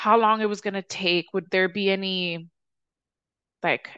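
The voice has an American accent, a bright, sharp tone and flat, monotone intonation, with a dry, close sound and no echo over a quiet background. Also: woman. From Chicago, South Side. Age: 30s. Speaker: podcast host. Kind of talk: casual personal monologue. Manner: casual, profane.

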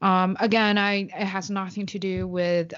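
A woman talks with a Chinese accent. Her pitch sits in the medium range. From China. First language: Mandarin Chinese. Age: 20s.

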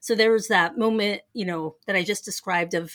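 An animated woman with an American accent speaks at medium pitch with ordinary pitch variation on a very clean recording with a silent background. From Denver, Colorado. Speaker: theology professor. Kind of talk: casual interview. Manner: animated, laughs often.

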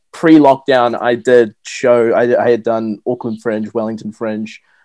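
Speaking with a New Zealand accent, a man keeps a medium pitch, a moderate pace and fairly even intonation. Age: 20s. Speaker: stand-up comedian. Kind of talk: casual chat. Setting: video call.

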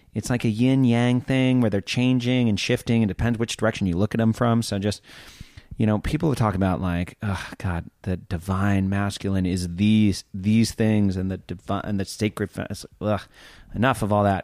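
An ordinary speaking voice belongs to a man who talks at a moderate pace in a fairly low pitch with fairly even intonation, in a dry, close sound with no echo. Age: 30s. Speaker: podcast host. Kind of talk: casual chat.

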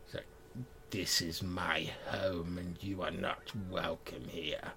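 A man uses a put-on character voice with a very deep, low pitch, speaking at a very slow pace over clear background noise. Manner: menacing, territorial.

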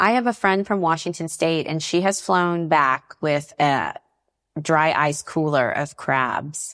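A woman's very deep, low voice at a very slow pace, with ordinary pitch variation, on a very clean recording with a silent background. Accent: American. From US South, North Carolina. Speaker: stand-up comedian. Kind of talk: casual chat. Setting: home kitchen.

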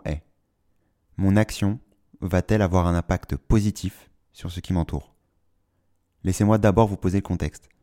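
Recorded very cleanly with a silent background and a dry, close sound with no echo, a man with a very deep, low pitch and a dark, mellow tone speaks at a moderate pace with fairly even intonation and long, frequent pauses. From Paris, France. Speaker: podcast host. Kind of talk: solo monologue.

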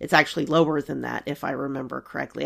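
Vocal fry runs through this fairly quick-paced speech on a very clean recording with a silent background. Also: woman. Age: 40s. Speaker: actuary podcast host. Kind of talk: solo explainer talk.

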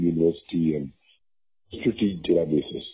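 This man has a very deep, low voice and talks at a fairly quick pace with fairly even intonation. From India, Gujarat (Tamil family). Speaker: entrepreneur and English teacher. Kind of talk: interview. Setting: phone call. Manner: many fillers and hesitations.

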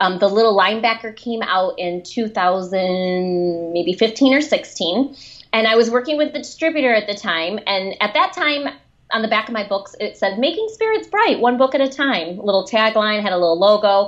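With a Michigan accent, a woman speaks at a fairly high pitch. Her pace is moderate and her intonation lively. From Michigan, suburban Detroit. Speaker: children's book author and speaker. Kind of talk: interview.

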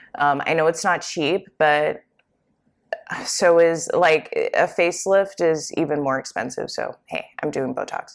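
With a normal speaking voice, a woman talks at a fairly slow pace in a fairly low pitch, using ordinary pitch variation. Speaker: podcast host and tech product manager. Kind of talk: solo podcast monologue. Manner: casual, conversational with fillers.

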